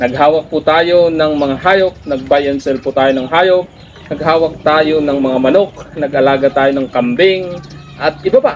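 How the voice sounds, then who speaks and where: A man's fairly high voice at a fairly slow pace, with fairly even intonation and noticeable background noise. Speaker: vlogger, former teacher. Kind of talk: motivational talk.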